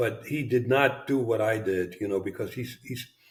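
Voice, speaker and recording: A man speaks at a fairly slow pace. His voice is somewhat breathy, with ordinary pitch variation. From East Germany. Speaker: former spy. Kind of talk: interview. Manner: halting.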